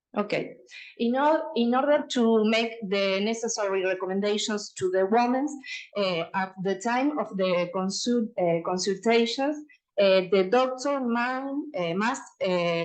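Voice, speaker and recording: A woman speaks in a Uruguayan accent. Room echo is audible. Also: fairly high pitch for a woman, ordinary pitch variation, fairly slow pace. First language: Spanish. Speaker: radiologist and researcher. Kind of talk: conference presentation. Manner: halting, many fillers and restarts.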